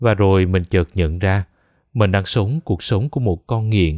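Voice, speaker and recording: A man speaks with an unremarkable speaking voice, fairly low in pitch, with ordinary pitch variation, at a fairly slow pace. The sound is dry and close with no echo, and the recording is very clean with a silent background. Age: 20s. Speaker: podcast narrator. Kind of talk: scripted narration.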